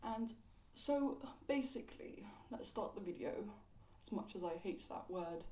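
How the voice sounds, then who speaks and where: In a London accent, a woman with a fairly high pitch and lively intonation speaks at a moderate pace with long, frequent pauses amid audible room echo. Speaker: YouTube commentator. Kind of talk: casual video commentary. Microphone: poor audio quality.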